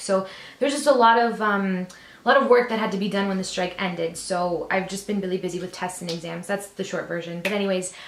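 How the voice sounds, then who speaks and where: In an upbeat tone, a woman talks at a very fast pace and a medium pitch with ordinary variation, against noticeable background noise. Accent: Canadian. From Canada. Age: 20s. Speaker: beauty vlogger. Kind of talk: makeup tutorial talk to camera. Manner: upbeat, chatty.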